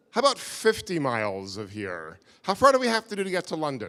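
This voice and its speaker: A man speaks with a New York accent. His pace is fairly quick. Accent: American, New York. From US, New York. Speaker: visiting lecturer. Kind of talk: lecture. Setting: stage with audience. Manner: halting.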